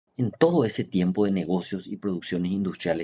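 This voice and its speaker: A man's very deep, low voice, dark and mellow with ordinary pitch variation, moves at a moderate pace in a very clean recording with a silent background. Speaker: engineer and business owner. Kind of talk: reading aloud. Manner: formal.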